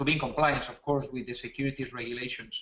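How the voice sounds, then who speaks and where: With a Spanish accent, a man talks in a fairly high voice with monotone, flat intonation. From Spain. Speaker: startup co-founder and webinar presenter. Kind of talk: webinar presentation. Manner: halting, frequent fillers and repetitions.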